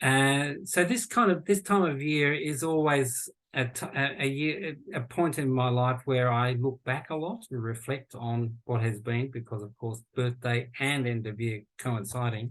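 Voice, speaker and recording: A man speaks with an Australian accent at a medium pitch and a fairly slow pace. He hardly pauses, and his pitch varies in an ordinary way. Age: 60s. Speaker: futurist and university lecturer. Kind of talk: podcast interview conversation. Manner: halting, with many false starts.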